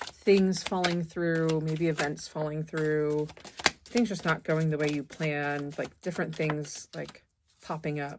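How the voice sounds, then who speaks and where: A woman speaks with a very deep, low pitch. Her pace is fairly slow. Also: fairly even intonation. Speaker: tarot reader. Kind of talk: tarot reading.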